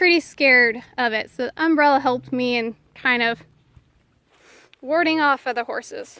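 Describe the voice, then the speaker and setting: A woman speaks at a moderate pace in a raised, projected voice with a high pitch, ordinary pitch variation and a bright, sharp tone, on a very clean recording with a silent background. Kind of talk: casual outdoor devotional storytelling. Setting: outdoors in a pasture. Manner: halting, many fillers.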